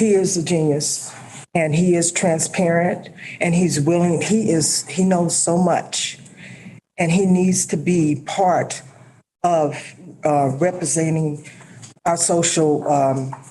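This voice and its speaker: In an American accent, a woman speaks at a very slow pace and fairly low pitch, with fairly even intonation, very even loudness, long and frequent pauses, and audible room echo. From Nevada. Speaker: public commenter. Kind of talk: public comment at meeting. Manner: halting, many fillers.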